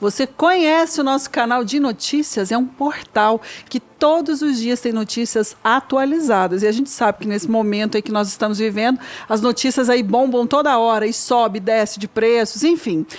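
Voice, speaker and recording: Her fairly high pitch and ordinary pitch variation carry a woman's speech at a moderate pace. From Curitiba, southern Brazil. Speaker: podcast co-host. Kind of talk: casual podcast chat.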